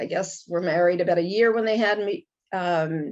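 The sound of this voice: A woman with an American accent, a fairly slow pace and a slightly mellow tone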